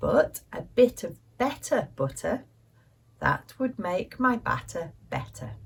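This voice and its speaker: A woman speaks very slowly with a British accent. Her loudness swings widely. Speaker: English teacher. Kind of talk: language lesson. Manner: slow, clear.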